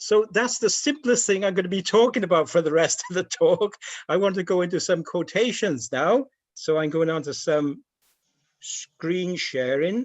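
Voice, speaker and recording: A man with a Welsh accent talks at a moderate pace, his pitch high. His intonation is lively. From Wales, Cardiff. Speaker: speaker. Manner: halting.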